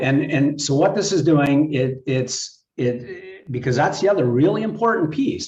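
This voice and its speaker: A man talks at a moderate pace in a fairly high, somewhat breathy voice. His loudness stays very even, with ordinary pitch variation. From Saskatchewan, Canada (Moose Jaw). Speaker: health tech company representative. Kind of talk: casual chat.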